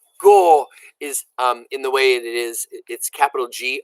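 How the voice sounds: Against a quiet background, the text is read in a natural reading voice.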